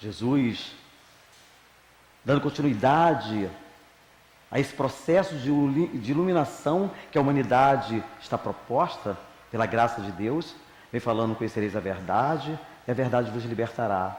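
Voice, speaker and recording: A man talks at a moderate pace with lively intonation and long, frequent pauses. Noticeable background noise is present. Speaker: spiritist lecturer. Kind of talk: religious talk. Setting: spiritist center with audience. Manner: informal, conversational.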